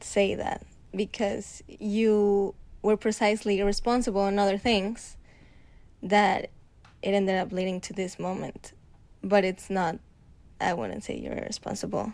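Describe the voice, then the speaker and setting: Speaking in a Spanish accent, a woman talks fairly slowly at a medium pitch with long, frequent pauses. Her intonation is monotone and flat. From Mexico. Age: 20s. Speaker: host's girlfriend. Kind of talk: casual chat.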